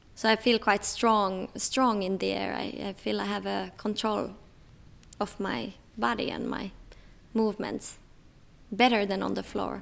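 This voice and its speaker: A woman's delivery is fairly slow. Long pauses come often. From Finland, Tampere. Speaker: aerial acrobat. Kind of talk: interview talk.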